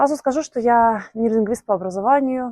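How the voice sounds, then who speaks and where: Moderate pace and a dark, mellow tone in a dry, close recording without echo. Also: woman. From Belarus. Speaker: polyglot vlogger, software engineer. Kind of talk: personal vlog monologue. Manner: hesitant, many fillers.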